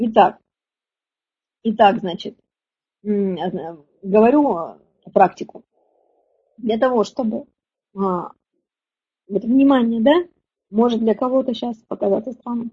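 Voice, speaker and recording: A woman speaks very slowly with long, frequent pauses. Her fairly high voice is dark, mellow, and somewhat breathy, with ordinary pitch variation. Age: 40s. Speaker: women's relationship coach. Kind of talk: webinar lecture. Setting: online webinar. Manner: animated.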